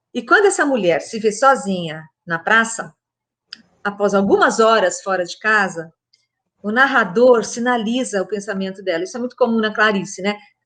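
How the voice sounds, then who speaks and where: The voice has a bright, sharp tone, a moderate pace, and ordinary pitch variation. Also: woman, fairly high pitch for a woman. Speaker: literature professor. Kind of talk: talk on literature.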